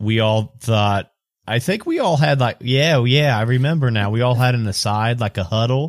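A man speaks at a moderate pace in an ordinary speaking voice, medium in pitch with ordinary pitch variation. His loudness stays very even, and the recording is very clean with a silent background. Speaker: roleplaying game player. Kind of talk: casual tabletop roleplaying game chat. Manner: casual, chatty, laughs a lot.

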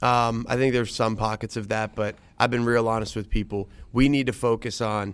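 A man talks at a very fast pace in a flat monotone. His pitch sits fairly low, with an American accent. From Youngstown, Ohio. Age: 30s. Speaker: politician. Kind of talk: interview. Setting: studio.

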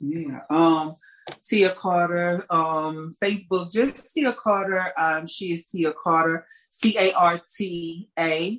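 A woman speaks with an American accent at a very slow pace. Her pitch is fairly low. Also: ordinary pitch variation. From St. Louis, Missouri, US Midwest. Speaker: singer and artist.

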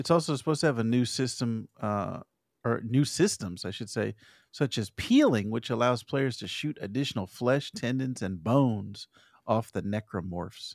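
A man with an American accent and a normal speaking voice, medium pitch, ordinary pitch variation and moderate pace, in a very clean recording with a silent background and a dry, close sound with no echo. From Arizona. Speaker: podcast co-host. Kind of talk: casual chat.

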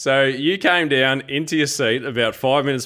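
A man with an Australian accent talks at a fairly quick pace and medium pitch. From Geelong, Victoria, Australia. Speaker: greyhound racing podcast co-host. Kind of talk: casual chat.

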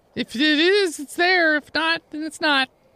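This is a put-on character voice. The pitch sits high. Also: moderate pace. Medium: actual play. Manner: flustered, exasperated.

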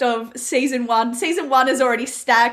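A woman's high-pitched voice with an Australian accent, at a moderate pace. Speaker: podcast host. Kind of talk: casual interview.

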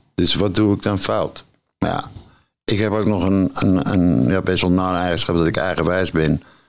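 Over music in the background, a man speaks at a moderate pace with a very deep, low pitch and very even loudness. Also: ordinary pitch variation. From Netherlands, Purmerend (North Holland). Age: 60s. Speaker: recovering addict. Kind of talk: personal testimony. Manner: halting.

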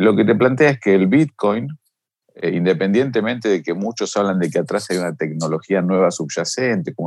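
A man with an Argentine accent, fairly low pitch, moderate pace and lively intonation. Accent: Argentine Spanish (Rioplatense). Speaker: financial markets expert. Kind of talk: interview.

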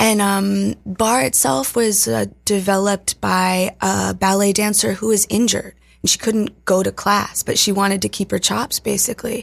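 This woman has an unremarkable speaking voice with an American accent, medium pitch and ordinary pitch variation. Her loudness stays very even at a moderate pace, with hardly any pauses. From Appalachian Virginia, US. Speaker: dance and fitness instructor. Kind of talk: casual interview. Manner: casual, lots of fillers.

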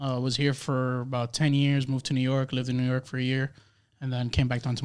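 A man speaks at a very fast pace with an American accent. His voice sits at a medium pitch and has a monotone, flat intonation. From Dominican Republic-born, raised in the US. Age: 20s. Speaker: podcast guest, photographer. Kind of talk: casual chat.

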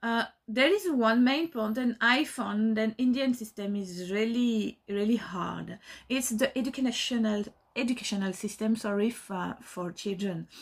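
A woman's somewhat breathy voice with a French accent and ordinary pitch variation, on a very clean recording with a silent background. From France. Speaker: dance teacher. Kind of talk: recorded testimony. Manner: halting, many fillers.

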